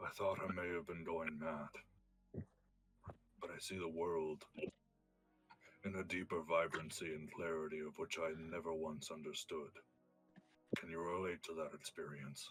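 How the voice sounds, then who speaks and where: A man's put-on character voice, very deep and low in pitch, at a moderate pace with monotone, flat intonation and long, frequent pauses. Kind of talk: formal archaic speech. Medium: actual play. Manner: stately, formal.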